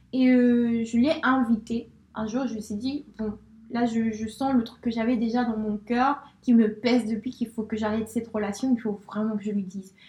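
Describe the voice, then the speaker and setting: The voice moves at a moderate pace with monotone, flat intonation. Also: woman, fairly high pitch for a woman. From Spain. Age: 20s. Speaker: friend of host. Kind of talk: casual chat.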